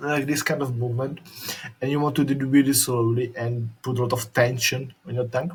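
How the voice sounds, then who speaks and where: With a Slovak accent, a man speaks at a medium pitch with fairly even intonation. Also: fairly quick pace. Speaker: YouTuber. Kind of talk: tutorial demo.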